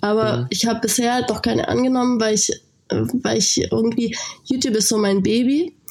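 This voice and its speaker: Over noticeable background noise, a woman talks at a fairly quick pace with very even loudness. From Lake Constance region, southern Germany. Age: 20s. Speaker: fitness influencer. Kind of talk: interview. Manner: casual, filler-heavy.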